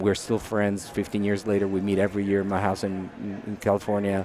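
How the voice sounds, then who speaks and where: Against noticeable background noise, a man in an Italian accent races along very fast at a fairly low pitch. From Italy. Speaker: software product manager. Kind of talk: casual interview. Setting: conference. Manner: halting.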